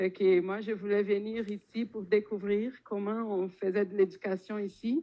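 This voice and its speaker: The speaker is a woman with a Brazilian accent. She talks at a very slow pace. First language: Portuguese (speaking French). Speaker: popular education organizer. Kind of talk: panel talk. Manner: hesitant, many fillers.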